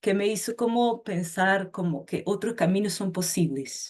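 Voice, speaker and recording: In a Portuguese accent, a woman speaks at a moderate pace and medium pitch with fairly even intonation. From Portugal. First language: Portuguese (speaking Spanish). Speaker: educator. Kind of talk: project presentation.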